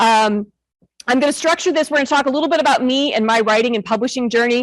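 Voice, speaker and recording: Loud, lively speech in a Midwestern American accent, dry and close with no echo. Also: woman. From northern Illinois. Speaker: author and school librarian. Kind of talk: talk to an audience. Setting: stage with audience. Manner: fast.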